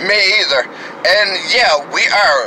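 Light background noise sits behind a woman who talks at a very slow pace. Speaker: podcast host. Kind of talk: casual vlog talk in a car. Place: car. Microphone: phone near.

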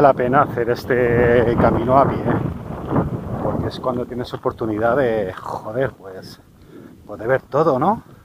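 Loud background noise surrounds a man speaking at a very slow pace. The sound is dry with no echo, and he leaves long, frequent pauses. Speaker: hiking vlogger. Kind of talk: casual vlog chat. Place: open country. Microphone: phone near.

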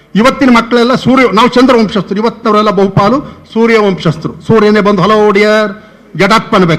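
Over noticeable background noise, a man talks in a high-pitched voice with fairly even intonation and very even loudness. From Karnataka, Mandya district village. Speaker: folklore scholar. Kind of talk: seminar talk. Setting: university seminar with audience. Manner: conversational, anecdotal.

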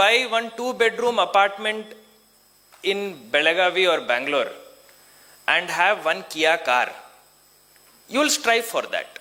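The voice is raised and projected. Its intonation is lively. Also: man, high pitch for a man. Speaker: district official and IAS officer giving a motivational talk to engineering students. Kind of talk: pep talk: a motivational address to students, mixing Kannada, English and Hindi couplets. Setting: stage with audience at a college event.

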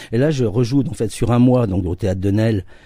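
A man talks at a moderate pace with lively intonation and a dark, mellow tone. The sound is dry with no echo, over a quiet background. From France, Charente-Maritime region (from age 11; born in Nancy); France. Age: 50s. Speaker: actor and stage director; actor. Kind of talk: radio interview. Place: studio.

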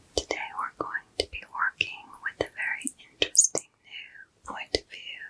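A woman whispers at a fairly slow pace. Her loudness swings widely. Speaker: content creator. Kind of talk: soft-spoken roleplay-style tutorial chat. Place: home room.

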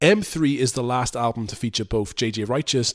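In a British accent, a man speaks at medium pitch with ordinary pitch variation. The recording is very clean, its background silent. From UK. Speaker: music YouTuber reviewing album discographies. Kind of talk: scripted review monologue. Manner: casual and irreverent, swears freely.

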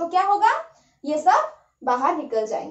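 Over a quiet background, a woman speaks at an extremely high pitch, with audible room echo around her. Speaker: teacher. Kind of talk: lecture. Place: home room.

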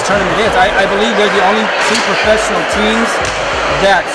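Over music in the background, a man speaks at a fairly quick pace. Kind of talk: interview answer. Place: hall. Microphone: handheld.

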